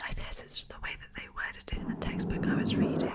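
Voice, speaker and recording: The voice is a whisper. Background noise can be clearly heard. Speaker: ASMR creator. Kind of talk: ASMR whispered talk about science facts. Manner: whispered, rambling, casual.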